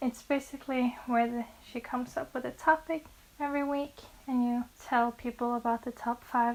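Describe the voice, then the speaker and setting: This woman's pitch is high. She has a Norwegian accent. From Norway. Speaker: book vlogger. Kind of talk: casual vlog talk to camera. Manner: occasional stumbles over English words.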